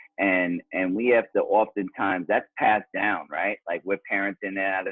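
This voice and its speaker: In a New York accent, a man speaks at a fairly low pitch with monotone, flat intonation. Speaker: author and father. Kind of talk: interview.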